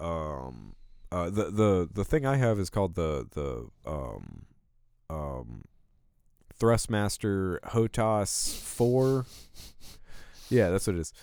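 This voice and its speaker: Against a silent background on a very clean recording, a man with a very deep, low voice speaks very slowly, with very wide pitch swings and long, frequent pauses. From Alabama. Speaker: gaming podcast host. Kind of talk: casual chat. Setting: studio. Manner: halting, many fillers.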